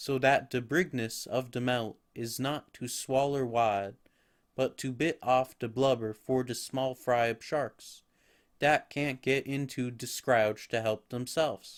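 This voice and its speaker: Putting on a character voice in a strong Southern US accent, a man rumbles at medium pitch and a fairly slow pace with fairly even intonation. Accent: heavy old Southern dialect, d for th, b for v. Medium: read story. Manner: grumbling, testy.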